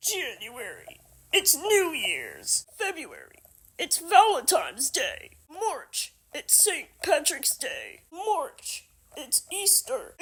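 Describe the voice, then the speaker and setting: The speaker uses a cartoonish character voice at an extremely high pitch. The pace is very slow. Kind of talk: comedic puppet sketch.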